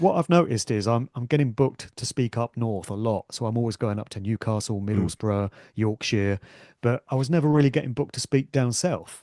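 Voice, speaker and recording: Dry and close with no echo, a man with a northern English accent and a dark, mellow tone speaks at a fairly quick pace over a quiet background. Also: medium pitch for a man, ordinary pitch variation. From northern England. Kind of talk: conversational.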